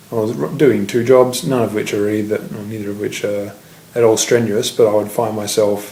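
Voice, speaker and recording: This man speaks with an Australian accent at a moderate pace. His pitch is fairly low, and his intonation fairly even. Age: 20s. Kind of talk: casual video diary.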